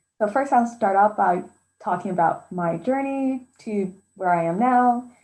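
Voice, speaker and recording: An ordinary speaking voice moves at a fairly slow pace with lively intonation over a quiet background. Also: woman, fairly high pitch for a woman. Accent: American. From US Pacific Northwest, Tacoma, Washington. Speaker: zoologist. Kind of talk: talk with slides. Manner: casual with frequent fillers.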